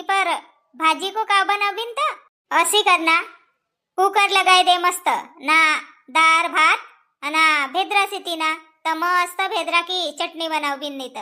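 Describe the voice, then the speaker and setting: A woman uses a cartoonish character voice at an extremely high pitch. She talks at a fairly slow pace. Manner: brisk, bossy.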